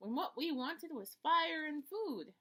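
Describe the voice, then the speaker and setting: The voice is a put-on character voice. It moves at a moderate pace. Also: woman, high pitch for a woman. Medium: read story. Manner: complaining.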